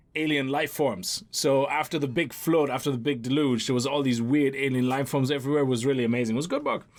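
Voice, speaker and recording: A man with a non-native accent, very fast pace, animated tone and very even loudness. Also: fairly high pitch for a man, hardly any pauses. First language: not English. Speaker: gaming YouTuber. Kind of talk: let's play commentary. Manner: casual, animated.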